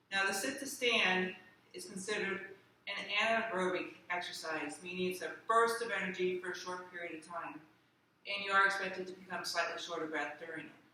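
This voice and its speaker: Fairly quick speech from a woman at medium pitch, audible room echo around it and noticeable background noise beneath. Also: ordinary pitch variation. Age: 60s. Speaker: physical therapist. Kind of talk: exercise tutorial. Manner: conversational, with fillers.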